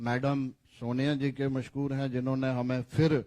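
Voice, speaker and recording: Medium pitch from a man, intonation monotone and flat. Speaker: politician. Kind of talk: press conference statement.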